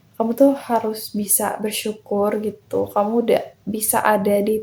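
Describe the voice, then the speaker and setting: Over noticeable background noise, a woman's voice comes through at a fairly high pitch. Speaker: self-improvement podcaster. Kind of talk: motivational podcast talk. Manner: casual, encouraging.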